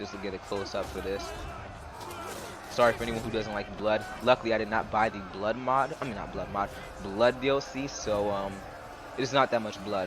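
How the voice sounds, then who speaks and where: A man speaks with a fairly low pitch and fairly even intonation. He leaves long, frequent pauses over noticeable background noise. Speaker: gaming youtuber. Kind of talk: gameplay commentary. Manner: fast; halting.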